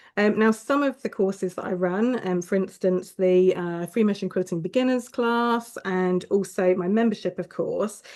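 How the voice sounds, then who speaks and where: A woman talks at a moderate pace and a medium pitch with fairly even intonation. The background is quiet. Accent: southern English. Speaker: quilting teacher. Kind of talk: live online class welcome. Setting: livestream. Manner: hesitant, many fillers.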